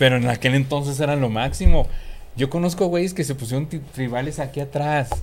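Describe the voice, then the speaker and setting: Somewhat breathy and fairly high in pitch, a man talks at a fairly quick pace with ordinary pitch variation. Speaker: podcast co-host. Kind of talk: casual chat.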